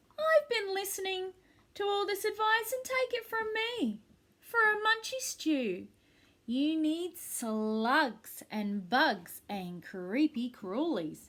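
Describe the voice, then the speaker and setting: Using a put-on character voice, a woman speaks at a very slow pace with an extremely high pitch and very wide pitch swings. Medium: read story. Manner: bristling, bossy.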